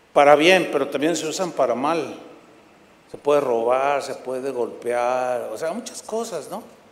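Speaking at a fairly slow pace, a man uses lively intonation and an animated tone. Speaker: preacher. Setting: church with congregation.

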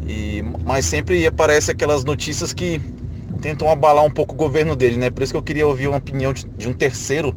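A man amid noticeable background noise. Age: 20s. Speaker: channel member asking questions. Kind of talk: recorded question.

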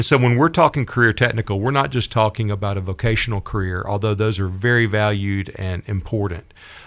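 A man with a Southern US accent and a fairly low pitch at a very fast pace, with hardly any pauses and ordinary pitch variation. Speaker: school district director. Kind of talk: casual interview. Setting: studio.

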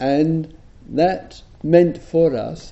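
The speaker is a man. He talks with an English accent. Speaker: Buddhist teacher. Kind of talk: dharma talk. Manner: soft-spoken; halting.

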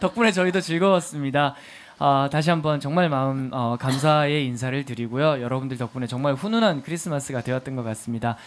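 Fairly quick speech from a man with a fairly high pitch that varies in an ordinary way. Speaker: podcast DJ and actor. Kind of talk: hosting a live public recording with play reading. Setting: stage with live audience. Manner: animated.

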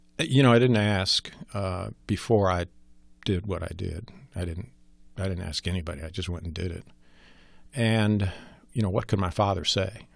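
A man with an American accent speaks at a very deep, low pitch, his voice somewhat breathy. Long, frequent pauses break up his speech. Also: very clean recording, silent background. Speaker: former congressman and war veteran. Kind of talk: interview. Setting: studio.

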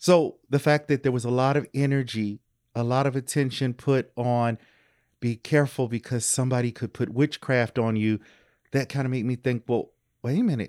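A man speaks in an ordinary speaking voice, with an American accent and a medium pitch. His intonation stays fairly even, and the recording is very clean with a silent background. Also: moderate pace. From US South, Louisville, Kentucky. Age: 50s. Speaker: professor. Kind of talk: casual interview. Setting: in-person home recording.

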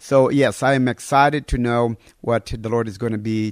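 The speaker has a Portuguese accent and ordinary pitch variation. The recording is very clean with a silent background and a dry, close sound with no echo. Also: man. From northern Brazil. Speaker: pastor. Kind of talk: sermon; interview.

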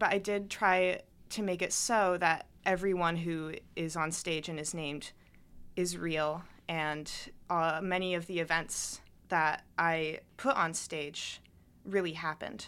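This is a woman with a plain, everyday voice and a fairly low pitch, talking at a fairly slow pace. The recording is very clean, with a silent background. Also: fairly even intonation. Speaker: college student and playwright. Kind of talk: interview. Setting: studio.

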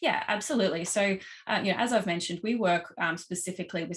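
A woman speaks with an Australian accent. Her pitch varies in an ordinary way. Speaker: marketing strategist. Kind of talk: casual interview chat. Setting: video call. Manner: high energy.

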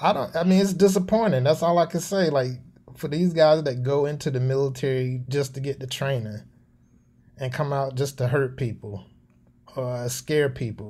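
A man talks at a moderate pace with a Southern US accent, his voice fairly high and somewhat breathy. The tone is dark and mellow, with ordinary pitch variation. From US South, North Carolina. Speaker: Air Force veteran. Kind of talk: interview.

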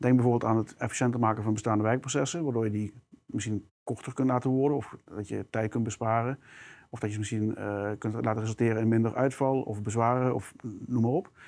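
He talks at a very fast pace. The man's intonation stays fairly even. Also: medium pitch for a man. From South Limburg, Netherlands. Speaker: product manager. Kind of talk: interview conversation. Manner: hesitant with fillers.

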